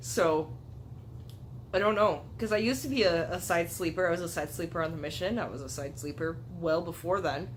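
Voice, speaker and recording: A woman with a fairly low pitch talks at a fairly quick pace in an animated tone. Her intonation is lively, and audible room echo surrounds her. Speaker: YouTuber. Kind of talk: casual chat.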